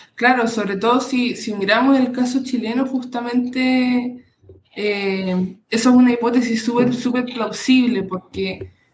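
A woman with a high pitch talks at a fairly slow pace, her intonation fairly even. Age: 20s. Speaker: doctoral student in political science. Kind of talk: interview.

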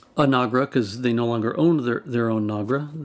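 A man speaks with an American accent at a medium pitch. His is a plain, everyday voice. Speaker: sound recordist. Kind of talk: casual interview chat.

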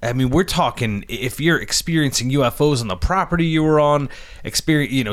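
In a normal speaking voice, a man with a fairly high pitch and ordinary pitch variation talks at a fairly quick pace. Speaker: podcast co-host.

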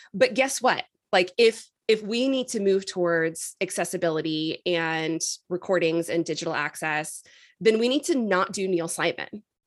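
This woman has a normal speaking voice at medium pitch. She talks at a moderate pace with lively intonation. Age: 40s. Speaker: podcast host. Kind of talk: casual interview chat.

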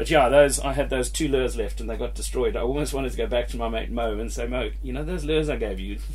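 A man's very deep, low voice, monotone and flat, at a very fast pace with hardly any pauses, music in the background. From Zimbabwe. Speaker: angler and fishing company owner. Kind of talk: casual chat about fishing.

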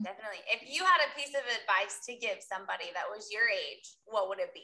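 Speaking at a fairly quick pace, a woman with an American accent has a bright, sharp tone. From US Midwest, Iowa. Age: 30s. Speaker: podcast host. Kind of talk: interview.

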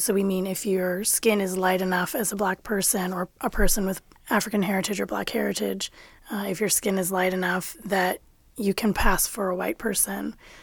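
A woman speaks in an unremarkable speaking voice at a medium pitch and a moderate pace. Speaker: nonprofit executive director. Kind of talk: panel discussion. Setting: studio.

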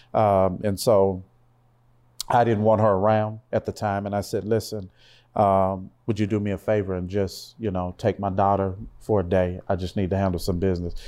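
With an American accent, a man speaks in a fairly low, dark, mellow voice, flat and monotone at a moderate pace, against a quiet background. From Louisiana, then Seattle area. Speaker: pastor and motivational speaker. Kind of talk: casual interview chat. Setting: studio.

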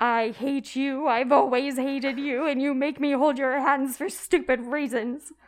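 A woman uses a put-on character voice pitched high. Her delivery comes at a moderate pace with monotone, flat intonation. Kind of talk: theatrical letter reading. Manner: dramatic, hateful.

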